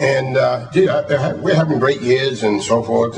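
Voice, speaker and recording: A man in a Boston accent at a moderate pace and medium pitch, with audible room echo and music in the background. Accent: Boston-area New England. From Massachusetts. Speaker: retired football coach. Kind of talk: award acceptance speech. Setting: hall of fame ceremony before audience. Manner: halting, many fillers and repeated words.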